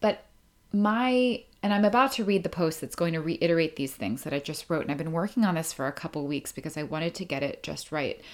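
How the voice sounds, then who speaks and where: Lively intonation marks a plain, everyday voice, captured in a very clean recording with a silent background. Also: woman. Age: 30s. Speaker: podcast host and author. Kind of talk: casual monologue. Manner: casual, rambling with laughs.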